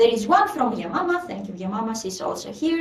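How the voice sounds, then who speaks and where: A woman speaks with a Greek accent and lively intonation. Audible room echo and noticeable background noise fill the recording. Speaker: community meeting host. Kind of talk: online meeting update. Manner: hesitant, many fillers.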